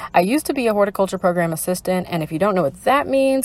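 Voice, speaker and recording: A very clean recording of a woman against a silent background. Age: 20s. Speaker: podcast host and library assistant. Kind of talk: casual solo podcast chat. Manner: casual with frequent laughs and fillers.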